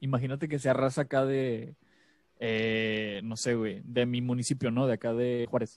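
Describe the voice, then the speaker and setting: Delivered at a moderate pace with fairly even intonation, this is a normal speaking voice. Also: man, medium pitch for a man. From Monterrey, northern Mexico. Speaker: podcast host. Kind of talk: casual chat.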